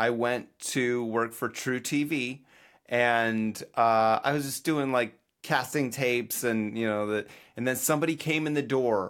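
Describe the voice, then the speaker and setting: At a fairly slow pace, a man speaks in an unremarkable speaking voice at medium pitch with ordinary pitch variation, on a very clean recording with a silent background. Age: 40s. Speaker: podcast co-host and video editor. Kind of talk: casual chat.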